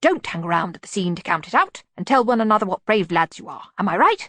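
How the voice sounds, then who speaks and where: A female-sounding voice growls through a put-on character voice at a middle pitch and a very fast pace. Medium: read story. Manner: calm, precise.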